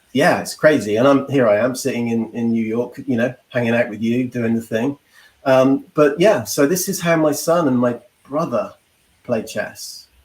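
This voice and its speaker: A man with an English accent, medium pitch, moderate pace. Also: ordinary pitch variation. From England. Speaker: legal marketing professional. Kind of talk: casual interview.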